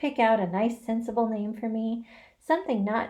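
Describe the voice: Someone doing plain reading aloud.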